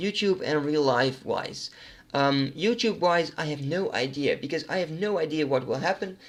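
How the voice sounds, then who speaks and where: A man's fairly high voice with a Dutch accent, ordinary pitch variation and a moderate pace. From Netherlands. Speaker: gaming YouTuber. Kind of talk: casual Q&A monologue. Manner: hesitant, many fillers.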